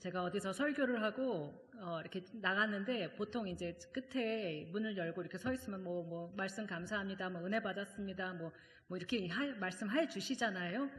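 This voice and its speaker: The speaker is a woman at medium pitch. She uses ordinary pitch variation. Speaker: seminary professor and guest preacher. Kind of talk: sermon. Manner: fast; conversational, many fillers.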